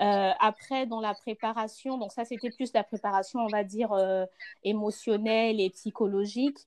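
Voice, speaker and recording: A woman with an ordinary speaking voice and fairly high pitch talks fairly slowly with fairly even intonation, in a dry, close sound with no echo against a quiet background. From Congo. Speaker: mother, podcast guest. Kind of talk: casual chat.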